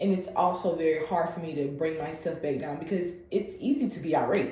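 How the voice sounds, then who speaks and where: Soft-spoken and fairly low in pitch, a woman talks at a fairly quick pace amid audible room echo. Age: 20s. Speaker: patient and content creator. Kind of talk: medical appointment conversation. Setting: video call.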